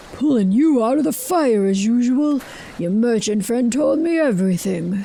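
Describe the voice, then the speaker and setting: Using a put-on character voice, a woman speaks with high pitch. Her pace is moderate, with light background noise. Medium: video game. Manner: brisk, dry.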